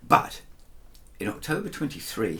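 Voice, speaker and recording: Noticeable background noise fills the recording. The speaker is a man. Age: 70s. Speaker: singer and guitarist. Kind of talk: casual talk to camera. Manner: halting with many fillers.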